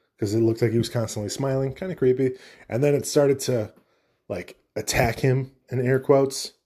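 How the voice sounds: Over a quiet background, the speaker uses a natural reading voice with fairly even intonation.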